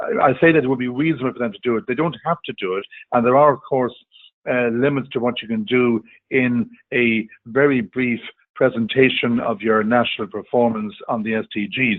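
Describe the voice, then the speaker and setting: Speaks with an Irish accent at a fairly quick pace. The pitch rises and falls in an ordinary way. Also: man, medium pitch for a man. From Ireland. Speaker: diplomat, webinar panelist. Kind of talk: panel discussion. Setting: online webinar call. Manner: halting, many fillers and repetitions.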